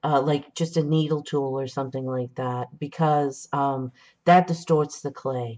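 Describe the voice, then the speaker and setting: In an American accent, a woman with a very deep, low voice speaks at a fairly slow pace with fairly even intonation. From California. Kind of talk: live tutorial.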